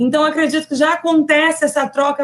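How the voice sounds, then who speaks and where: A woman with a Brazilian accent speaks at a moderate pace. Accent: non-local Brazilian accent, noticeable. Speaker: university professor. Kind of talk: lecture. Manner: conversational, frequent fillers.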